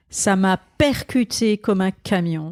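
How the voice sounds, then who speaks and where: Here a woman speaks with ordinary pitch variation. The recording is very clean, dry and close, with a silent background and no echo. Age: 60s. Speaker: pastor. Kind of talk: interview. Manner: halting.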